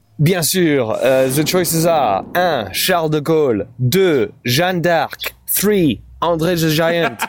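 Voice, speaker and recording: Music in the background behind a man with a fairly high pitch, very slow pace, lively intonation and very even loudness. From France. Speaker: stand-up comedian. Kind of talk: casual comedic banter. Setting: remote call. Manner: animated, joking.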